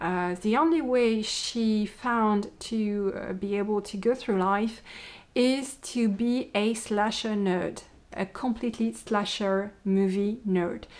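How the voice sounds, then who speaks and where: A woman with a French accent, fairly high in pitch with ordinary pitch variation, at a very slow pace in a very clean recording with a silent background. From France. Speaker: podcaster, knitter and yarn dyer. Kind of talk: casual podcast monologue. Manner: hesitant, many fillers.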